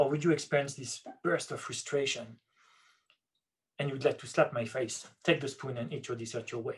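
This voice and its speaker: The voice is somewhat breathy, in a French accent, with fairly even intonation. Loudness swings widely, and the pauses are long and frequent. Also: man, fairly high pitch for a man, fairly quick pace. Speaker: neuroscience researcher. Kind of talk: lecture.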